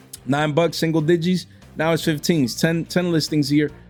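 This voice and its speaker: A man speaks at a fairly quick pace with a New York accent. The recording is very clean, with a silent background. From New York City. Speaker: trading card market commentator. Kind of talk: casual livestream-style commentary. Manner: animated; casual slangy.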